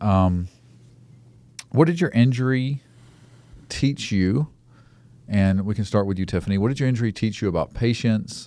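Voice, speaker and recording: A man at a medium pitch with an Alabama accent, lively intonation, a moderate pace and long, frequent pauses, on a very clean recording with a silent background. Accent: Southern US (Alabama). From US South, Mobile, Alabama. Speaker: podcast host. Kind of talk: casual interview chat. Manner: halting.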